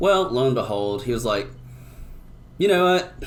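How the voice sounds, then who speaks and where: Audible room echo surrounds a man who speaks with an American accent and lively intonation. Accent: pseudo-Southern. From US South (Tennessee). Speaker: testosterone therapy clinician. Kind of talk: podcast interview. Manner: polite.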